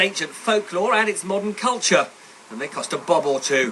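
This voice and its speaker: A man speaks in a raised, projected voice at a high pitch with lively intonation. Noticeable background noise runs underneath. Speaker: economics editor. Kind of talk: TV news report. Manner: highly varied intonation, high pre-heads, rising heads.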